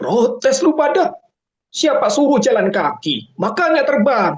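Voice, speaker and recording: A put-on character voice, pitched high. It moves at a fairly slow pace. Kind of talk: colloquial Indonesian. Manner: arrogant, mocking, taunting.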